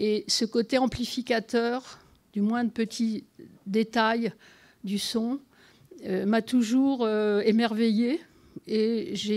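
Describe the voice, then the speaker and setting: Speaking at a very slow pace, a woman uses a fairly high pitch and fairly even intonation. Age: 70s. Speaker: composer. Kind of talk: conference talk. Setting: conference with audience. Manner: hesitant, many fillers.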